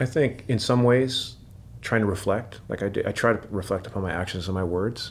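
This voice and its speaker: Speaking fairly quickly in an American accent, a man with a fairly low pitch sounds somewhat breathy, with ordinary pitch variation. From US Pacific Northwest, Seattle. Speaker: firefighter. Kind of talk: long-form interview. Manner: casual, many fillers.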